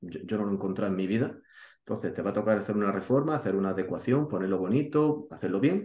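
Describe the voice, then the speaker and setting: Delivered at a very fast pace, the speech carries audible room echo. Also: man. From Spain, Granada (Andalusia); Andalusia, Spain. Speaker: real estate investor and YouTuber; YouTuber. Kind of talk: interview. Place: home room.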